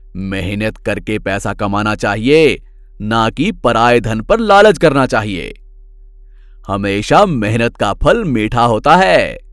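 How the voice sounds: Doing a put-on character voice, a man speaks slowly at a fairly low pitch, with a fairly bright tone and lively intonation.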